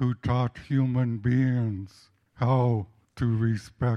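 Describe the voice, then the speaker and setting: A man's very slow delivery with long, frequent pauses, fairly even intonation and a dark, mellow tone. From Sitka, Alaska. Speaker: Tlingit elder. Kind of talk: testimony. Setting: public gathering.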